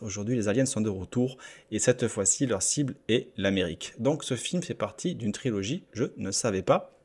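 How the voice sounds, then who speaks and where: Medium-pitched male voice at a moderate pace, ordinary pitch variation, very clean recording with a silent background. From southwest France. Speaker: YouTuber, gaming channel host. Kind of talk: casual video commentary. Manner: hesitant, many fillers.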